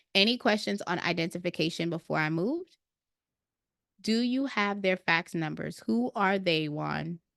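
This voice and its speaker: A woman with an American accent sounds animated, with lively intonation, recorded dry and close with no echo over a quiet background. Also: fairly low pitch for a woman, moderate pace. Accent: New York with occasional Jamaican twang. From Brooklyn, New York, Jamaican family. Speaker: credit repair software trainer. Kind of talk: live Q&A webinar. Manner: casual, animated.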